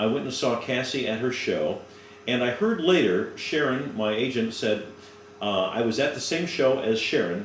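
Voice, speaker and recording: The speaker talks at a moderate pace with lively intonation. Noticeable background noise runs underneath. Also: man. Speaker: voice actor. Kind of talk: casual interview.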